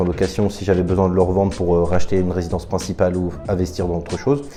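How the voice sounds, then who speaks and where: A man speaks at a very fast pace. Noticeable noise runs in the background. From France, Paris region (Val-de-Marne). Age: 20s. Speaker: property investor. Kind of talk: testimony. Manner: halting, with frequent hesitations.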